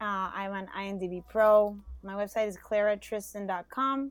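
A woman at a fairly slow pace. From Panama. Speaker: actor. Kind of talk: casual chat.

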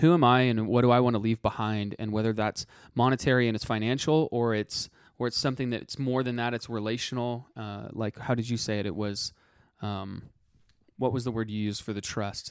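A man speaks at a medium pitch and a fairly quick pace, with fairly even intonation and an unremarkable speaking voice. The recording is very clean, with a silent background. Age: 20s. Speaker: financial podcast co-host. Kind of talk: casual chat.

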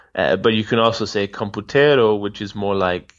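Over a quiet background, a man with a fairly low pitch talks in a plain, everyday voice. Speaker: language-learning podcaster interviewing polyglots. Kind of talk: casual interview chat.

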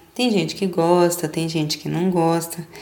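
Noticeable background noise sits behind a woman speaking in an animated tone at a fairly low pitch. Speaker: podcast host. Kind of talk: casual monologue.

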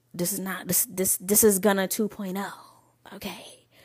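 A woman's medium-pitched voice, animated in tone, at a fairly quick pace. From Michigan, Lansing. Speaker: podcast host. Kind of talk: casual monologue.

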